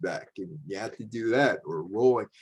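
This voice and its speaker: A man's medium-pitched voice at a moderate pace, with lively intonation. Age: 60s. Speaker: media historian and speaker. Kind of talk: presentation lecture. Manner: casual, hesitant with many fillers.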